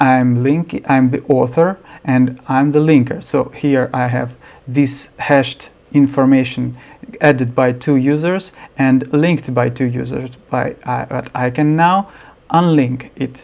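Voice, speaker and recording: This voice carries a non-native accent. It moves along fairly slowly. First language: not English. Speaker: software developer. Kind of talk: screencast tutorial. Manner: halting, many fillers.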